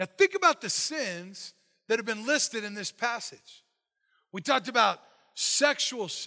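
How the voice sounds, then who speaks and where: A man's raised, projected voice at an extremely high pitch, fairly slow, with big swings in loudness and very wide pitch swings. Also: dry, close sound with no echo. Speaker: pastor. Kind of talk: sermon. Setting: church. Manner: loud when excited.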